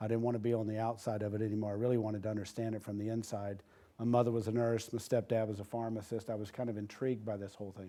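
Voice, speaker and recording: A dark, mellow tone in an American accent, at a very fast pace with monotone, flat intonation. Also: man. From US South, rural southern Georgia (Moultrie). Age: 50s. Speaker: healthcare innovation executive. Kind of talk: interview.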